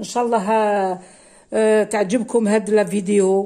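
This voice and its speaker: A woman's dark, mellow tone at a very slow pace, with monotone, flat intonation. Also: very clean recording, silent background. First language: Kabyle (speaking French). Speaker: cooking vlogger. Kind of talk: cooking tutorial. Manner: hesitant, many fillers.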